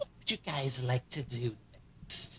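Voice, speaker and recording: Medium pitch, a fairly slow pace and a put-on character voice from a man, over clear background noise. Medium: fan dub. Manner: smug, theatrical.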